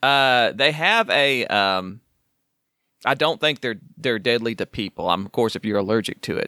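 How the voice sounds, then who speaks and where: In an Oklahoma accent, a man speaks at a moderate pace with a medium pitch and ordinary pitch variation. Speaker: podcast co-host. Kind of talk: casual chat. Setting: recording from home, remote.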